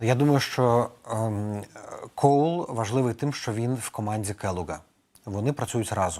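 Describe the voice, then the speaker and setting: A fairly slow pace and a dark, mellow tone. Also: man, medium pitch for a man, ordinary pitch variation. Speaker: political adviser. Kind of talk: news interview.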